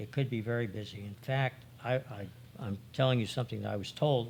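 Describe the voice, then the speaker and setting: Using vocal fry, a man speaks at a medium pitch and a moderate pace, with ordinary pitch variation. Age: 70s. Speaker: retired accounting partner and expert witness. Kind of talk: interview.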